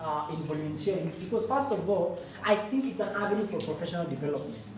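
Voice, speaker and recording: A woman with a Kenyan accent uses lively intonation, heard with audible room echo and noticeable background noise. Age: 20s. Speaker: youth volunteer, program head. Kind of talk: conference talk.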